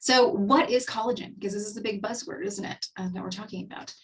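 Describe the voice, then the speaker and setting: Someone with a Texan accent speaks with lively intonation. The voice is somewhat breathy. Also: woman. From Texas. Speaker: skincare advisor. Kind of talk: webinar presentation. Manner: casual, filler-heavy.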